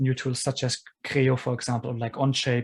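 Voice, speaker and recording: A man's fairly high, somewhat breathy voice at a fairly quick pace. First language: non-English. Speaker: engineer, podcast guest. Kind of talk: casual interview chat.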